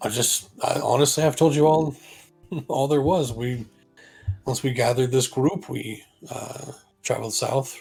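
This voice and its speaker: Over faint background music, a man does a put-on character voice, raspy and medium-pitched, speaking at a fairly slow pace. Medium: actual play. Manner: blunt, dry.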